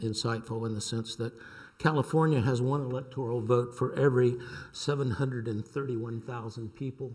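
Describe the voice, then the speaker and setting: With a Southern US accent, a man speaks at a medium pitch in a somewhat breathy voice with fairly even intonation. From US South, North Carolina. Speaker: sociology professor. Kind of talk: reading aloud a prepared talk. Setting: lecture panel with audience.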